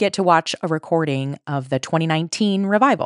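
A woman's fairly low voice, a normal speaking voice, with lively intonation at a fairly quick pace, in a dry, close sound with no echo. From Colorado, then Chicago area. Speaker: podcast host. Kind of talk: casual chat.

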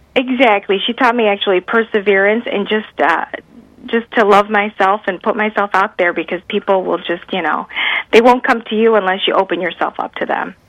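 A woman's medium-pitched voice with an American accent at a fairly quick pace. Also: fairly even intonation. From US Midwest. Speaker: cancer survivor and author. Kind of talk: interview. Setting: radio interview.

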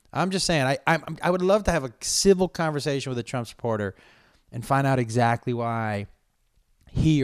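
The recording is very clean with a silent background. A man with an American accent talks at a moderate pace in an animated tone with lively intonation. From Massachusetts. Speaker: comedian and podcast host. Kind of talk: solo podcast monologue.

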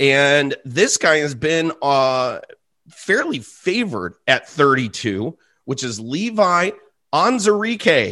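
In a bright, sharp tone, a man with a fairly high pitch speaks in an animated, enthusiastic way with very wide pitch swings. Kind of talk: sports analysis podcast chat. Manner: animated, enthusiastic, gushing over a prospect's speed and power; conversational, stumbling and laughing mid-sentence.

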